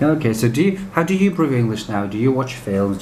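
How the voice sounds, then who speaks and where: A man speaks at a moderate pace amid noticeable background noise and audible room echo. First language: Russian. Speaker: interviewer, English teacher. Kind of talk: interview.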